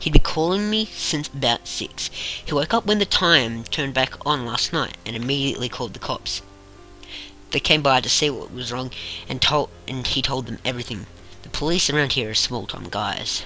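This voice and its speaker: Music plays behind a man whose voice sits fairly high and whose loudness swings widely. His intonation is lively and his pace moderate. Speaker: amateur creepypasta narrator. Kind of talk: horror story narration. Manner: slight stutter.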